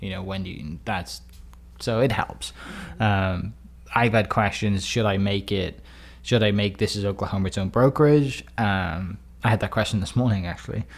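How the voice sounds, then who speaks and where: A man with a Welsh accent talks at a moderate pace with a fairly low pitch, vocal fry and lively intonation. The recording is very clean with a silent background. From Wales. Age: 30s. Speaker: real estate agent and community storyteller. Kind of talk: interview conversation.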